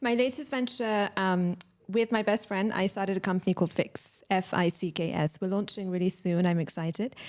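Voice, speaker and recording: A woman with a London accent talks at a fairly quick pace, keeping her loudness very even. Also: medium pitch for a woman, ordinary pitch variation. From London, England. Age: 30s. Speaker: entrepreneur. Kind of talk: podcast interview.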